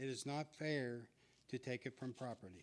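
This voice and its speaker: A man speaks at a moderate pace with a medium pitch, ordinary pitch variation, and an unremarkable speaking voice. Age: 60s. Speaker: public commenter at school board meeting. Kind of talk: public comment speech.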